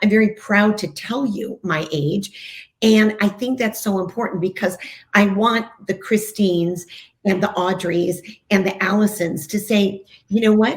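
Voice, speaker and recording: A woman talks at a fairly slow pace in a medium pitch. Her voice is somewhat breathy. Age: 60s. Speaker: TV host and breast cancer survivor. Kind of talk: podcast interview. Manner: animated.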